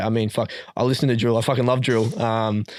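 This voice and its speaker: The speaker has an Australian accent and a monotone, flat intonation. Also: man. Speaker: rapper. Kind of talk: casual chat. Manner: halting.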